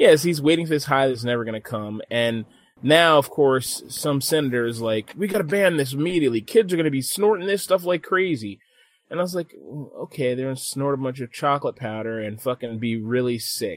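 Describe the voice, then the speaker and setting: Talking at a fairly quick pace, a man with an unremarkable speaking voice uses lively intonation at a fairly high pitch. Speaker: podcast host. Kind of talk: casual banter podcast. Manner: joking, laid-back.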